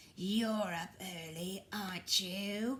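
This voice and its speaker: A woman puts on a character voice at a medium pitch, with light background noise behind her. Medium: read story. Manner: sharp, condescending.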